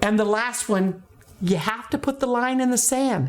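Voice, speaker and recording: The speaker is a woman. Noticeable background noise runs behind her voice. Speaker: teacher trainer, former teacher. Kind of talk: educational talk to camera. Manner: fast.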